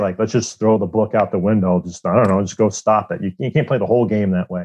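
An ordinary speaking voice: a man with an American accent, fairly low pitch, ordinary pitch variation and a fairly quick pace. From Iowa, US Midwest. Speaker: goaltending coach, former pro hockey goalie. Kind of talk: interview.

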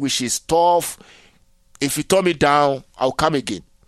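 A Nigerian accent comes through with a dry, close sound and no echo. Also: man. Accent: Nigerian (Yoruba) English. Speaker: interdisciplinary artist. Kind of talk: interview conversation.

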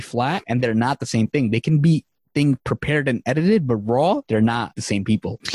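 In a New York accent, a man at medium pitch speaks at a fairly quick pace with ordinary pitch variation. The recording is very clean with a silent background, and the sound is dry and close with no echo. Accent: New York City English. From Queens, New York City (came from Bangladesh at age three). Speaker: career resource founder and podcast host. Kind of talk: casual interview chat.

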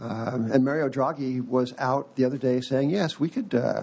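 Vocal fry runs through this man's voice. He talks in a medium pitch. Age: old. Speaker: podcast host, financial newsletter editor. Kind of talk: casual chat. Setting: studio.

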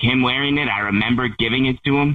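Fairly slow and fairly even in intonation, a man talks at a medium pitch with an unremarkable speaking voice. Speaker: caller. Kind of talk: casual phone chat. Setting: phone call.

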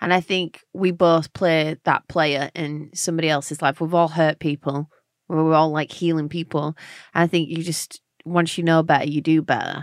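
A woman with a London accent speaks in a very deep, low pitch with monotone, flat intonation and a dry, close sound with no echo. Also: moderate pace, very clean recording, silent background. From London, England. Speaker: singer-songwriter. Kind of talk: casual interview chat.

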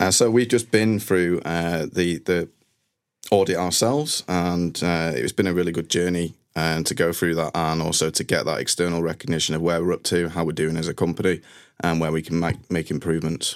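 The recording is very clean with a silent background, carrying a speaker with a Mancunian accent at a fairly quick pace and fairly even intonation. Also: man, very deep, low pitch for a man. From northern England, Manchester. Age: 30s. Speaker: IT team manager. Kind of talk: interview.

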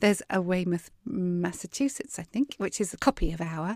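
A woman with a Southern English accent at a moderate pace, on a very clean recording with a silent background. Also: dry, close sound with no echo. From southern England. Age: 50s. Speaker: podcast host and worship singer. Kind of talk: casual interview chat.

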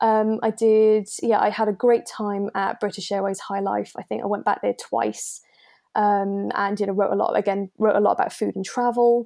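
A woman with a dark, mellow tone talks at a moderate pace in a monotone, flat delivery. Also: medium pitch for a woman. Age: 20s. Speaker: journalist. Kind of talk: casual chat.

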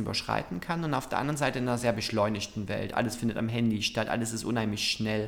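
Noticeable background noise fills the recording. Over it, a man speaks at a very fast pace. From Saxony, Germany (Zwickau). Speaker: LGBT association director and activist. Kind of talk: interview.

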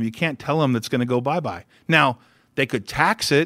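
A normal speaking voice with an American accent, moving at a fairly quick pace with ordinary pitch variation. The recording is very clean, with a silent background. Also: man. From California. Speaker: company CEO and investor. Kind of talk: interview.

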